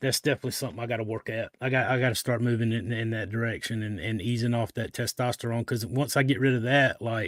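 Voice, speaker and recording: Speaking very fast with hardly any pauses, a man with a Southern US accent talks at a medium pitch, the recording very clean with a silent background and a dry, close sound with no echo. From US South. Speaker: live show host. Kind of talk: casual chat. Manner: animated.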